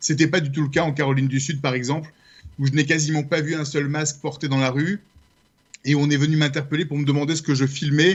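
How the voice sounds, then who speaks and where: Speaking very fast with a French accent, a man uses a fairly high, somewhat breathy voice in a flat monotone. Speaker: journalist and documentary maker. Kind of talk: radio interview.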